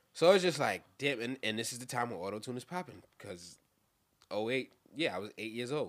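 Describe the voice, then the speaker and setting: A man with a New York accent, at a fairly quick pace and medium pitch, with lively intonation. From Brooklyn, New York. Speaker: rapper. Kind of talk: casual chat.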